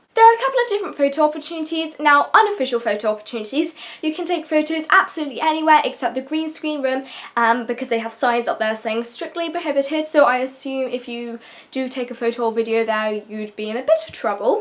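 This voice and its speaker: A woman's high voice in a British accent, at a very fast pace. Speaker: YouTuber. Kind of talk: casual vlog advice talk.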